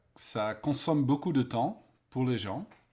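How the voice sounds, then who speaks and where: Speaking at a very slow pace, a man talks with a Dutch accent. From Netherlands. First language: Dutch (speaking French). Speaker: event design expert, author. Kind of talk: interview. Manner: halting, searching for words.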